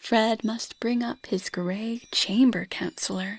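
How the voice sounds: Someone reads here in a natural reading voice.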